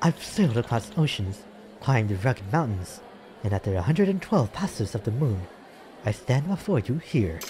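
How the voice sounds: This is a natural reading voice. It reads the lines as written.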